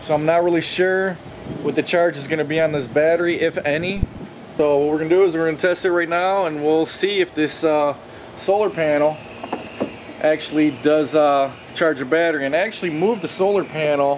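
There is noticeable background noise behind a man talking with ordinary pitch variation. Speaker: product reviewer. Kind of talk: casual vlog chat. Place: garden. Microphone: phone near.

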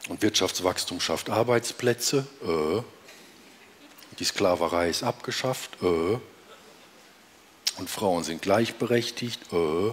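At a very slow pace with long, frequent pauses, a man with a fairly low pitch speaks with ordinary pitch variation. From Romania. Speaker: cabaret artist. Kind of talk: cabaret stage performance. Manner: calm, chatty. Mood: dry, deadpan irony. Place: stage. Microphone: headset.

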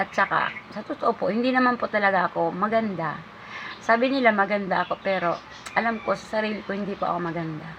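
A woman talks very fast at a medium pitch with ordinary pitch variation. Background noise can be clearly heard. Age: 50s. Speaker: vlogger. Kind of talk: casual monologue vlog. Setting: at her store.

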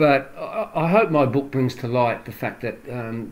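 A man speaks with an Australian accent. His pace is moderate and his pitch variation ordinary. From Australia, Adelaide. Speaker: author and former English teacher. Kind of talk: interview. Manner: halting.

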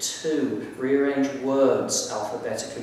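Strong room echo surrounds a man talking at a fairly slow pace over light background noise. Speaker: poet. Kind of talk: poetry reading. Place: hall. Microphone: camera far.

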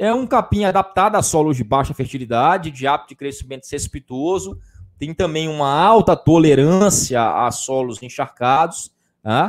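In a very clean recording with a silent background, a man with an unremarkable speaking voice talks at a moderate pace, fairly high in pitch, with lively intonation. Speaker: livestock science teacher. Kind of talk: live-stream lecture. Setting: improvised home studio. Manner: conversational, frequent 'tá?' fillers.

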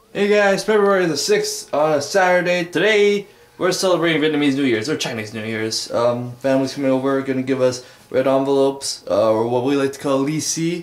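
At a fairly quick pace, a man talks amid audible room echo. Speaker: vlogger. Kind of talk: casual vlog chat. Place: home room.

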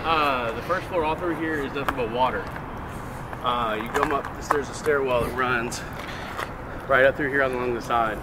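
Loud background noise runs under a man's voice. He speaks at a moderate pace with long, frequent pauses. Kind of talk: casual explanation to companions. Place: street.

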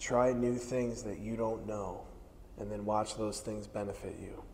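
A man speaks at a fairly slow pace in a medium pitch, his intonation monotone and flat, with long, frequent pauses over light background noise. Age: 40s. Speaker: strength coach. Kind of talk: instructional stretching class. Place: gym. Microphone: lapel.

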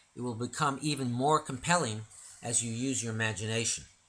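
In a normal speaking voice, a man talks fairly quickly, his pitch medium and ordinary in variation. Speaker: narrator and author reading his own illustrated poem book. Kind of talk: reading aloud a rhyming illustrated poem story. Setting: audio recording of a book read aloud. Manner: measured, rhythmic cadence with sing-song rhymes, formal and didactic.

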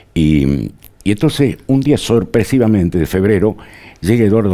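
Dark and mellow in tone, a man talks at a fairly quick pace with lively intonation. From Argentina, Tucumán. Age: 70s. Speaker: journalist and historian. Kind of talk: interview. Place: studio. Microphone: lapel.

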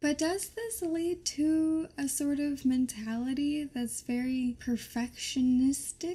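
A woman with a high voice and a dark, mellow tone speaks at a very slow pace, hardly pausing, with ordinary pitch variation. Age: 20s. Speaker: YouTuber. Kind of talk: vlog monologue.

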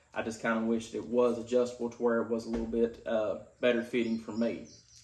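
A man speaks in a Kentucky accent at a fairly quick pace. His intonation is monotone and flat. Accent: Kentucky Southern US. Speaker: gun and gear reviewer; product reviewer. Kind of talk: product review. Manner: casual, frequent filler words. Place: home room. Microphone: camera far.

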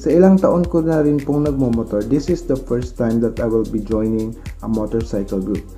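The pace is moderate. Faint music plays in the background. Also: man. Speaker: motovlogger. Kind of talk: casual vlog chat. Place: home room. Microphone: phone near.

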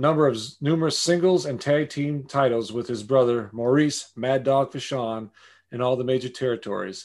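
A man with an ordinary speaking voice talks at medium pitch and a moderate pace, with ordinary pitch variation and a quiet background. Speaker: podcast host. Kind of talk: show intro read.

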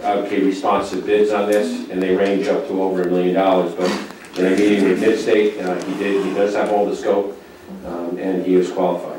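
Strong room echo and light background noise surround a man's voice. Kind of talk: formal presentation to a board. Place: meeting room.

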